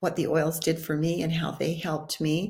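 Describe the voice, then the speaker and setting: Somewhat breathy and fairly low-pitched, a woman speaks with monotone, flat intonation. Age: 60s. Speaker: wellness video host. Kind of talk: informal talk to camera.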